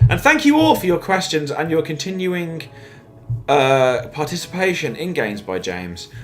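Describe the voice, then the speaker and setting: Against noticeable background noise and audible room echo, a man with a Midlands accent speaks at a moderate pace. His pitch is fairly high and his intonation lively. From West Midlands, England. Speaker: comedy podcast co-host. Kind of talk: casual chat.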